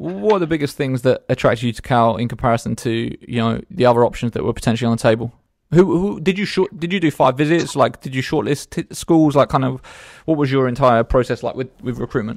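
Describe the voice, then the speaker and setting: A British man with a medium pitch talks very fast with lively intonation, on a very clean recording that sounds dry and close, with no echo and a silent background. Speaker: podcast host. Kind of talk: casual interview. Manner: informal, chatty.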